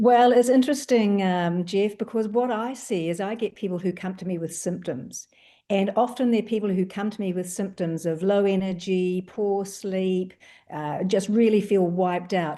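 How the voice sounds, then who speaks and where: A woman speaks at a moderate pace in a medium-pitched voice with a dark, mellow tone. Her pitch varies in an ordinary way. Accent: New Zealand. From New Zealand. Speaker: doctor. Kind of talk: panel discussion.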